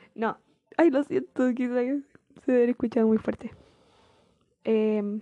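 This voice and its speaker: A woman speaks with a Chilean accent at a high pitch in a dark, mellow tone. The sound is dry and close, with no echo. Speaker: podcaster. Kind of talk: casual chat. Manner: laughs often.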